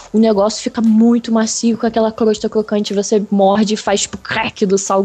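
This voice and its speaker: Against noticeable background noise, a woman talks at a fairly quick pace in a fairly high pitch with monotone, flat intonation. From Rio de Janeiro, Brazil. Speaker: podcast guest. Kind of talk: casual chat.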